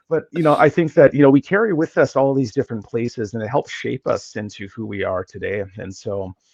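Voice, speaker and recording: A man with an American accent at medium pitch, talking fairly quickly with hardly any pauses, lively intonation and big swings in loudness, in a dry, close sound with no echo. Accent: slight, fading Minnesotan. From Minnesota, US. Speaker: geographer, academic. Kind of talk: podcast interview.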